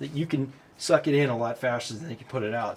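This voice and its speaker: The voice is somewhat breathy. It belongs to a man talking at a fairly quick clip. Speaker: DIY mechanic YouTuber. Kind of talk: hands-on tutorial while working. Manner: halting, thinking aloud.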